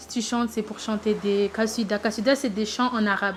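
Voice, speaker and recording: Noticeable background noise accompanies a woman at a moderate pace. Her fairly high voice holds a monotone, flat intonation. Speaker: singing contest candidate. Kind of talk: interview testimony. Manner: halting.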